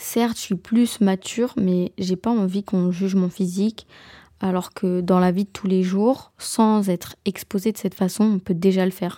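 In a very clean recording with a silent background, a woman speaks fairly slowly at a medium pitch, her dark, mellow tone held in a flat monotone. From Belgium. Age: 20s. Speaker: podcaster, university student. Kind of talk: solo podcast monologue. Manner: casual, hesitant with fillers.

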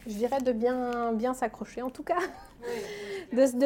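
Noticeable background noise sits behind this speaker. She is a woman with a fairly high pitch. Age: 30s. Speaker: pastry chef and shop owner. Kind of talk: interview. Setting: in her workshop. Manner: animated.

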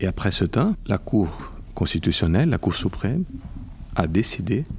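In a Brazilian accent, a man speaks with very wide pitch swings. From Brazil (Rio de Janeiro). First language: Portuguese (speaking French). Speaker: intellectual property lawyer. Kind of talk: interview. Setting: convention center. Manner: halting.

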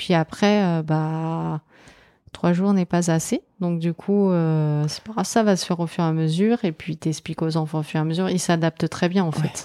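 At a fairly slow pace, a dark, mellow tone with fairly even intonation comes through very cleanly against a silent background, the sound dry and close with no echo. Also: woman, fairly low pitch for a woman. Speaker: primary school teacher. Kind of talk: casual interview chat.

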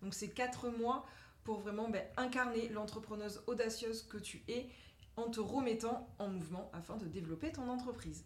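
Amid audible room echo and noticeable background noise, a woman talks at a moderate pace in a fairly high pitch with ordinary pitch variation. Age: 30s. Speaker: mindset coach. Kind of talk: casual interview chat.

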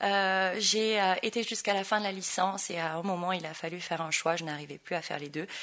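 At a moderate pace, a woman speaks in a medium pitch with a bright, sharp tone. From Tahiti, French Polynesia. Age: young. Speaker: dancer and dance school owner. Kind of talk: interview. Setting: in person.

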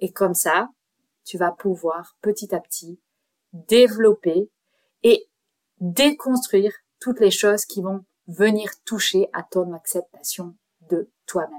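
A woman speaks very slowly, with long, frequent pauses and big swings in loudness. The sound is dry and close, with no echo. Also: medium pitch for a woman, ordinary pitch variation. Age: 30s. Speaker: podcast host and life coach. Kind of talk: solo self-help podcast talk.

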